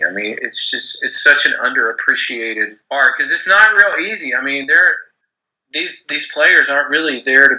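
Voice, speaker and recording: A man with a Texas accent. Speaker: gambling writer and podcast host. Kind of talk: interview. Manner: not very animated.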